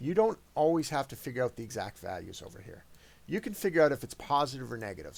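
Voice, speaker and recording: Vocal fry runs through a man's fairly high voice. He talks at a fairly quick pace, with very wide pitch swings. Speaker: math teacher. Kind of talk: tutorial. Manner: fast.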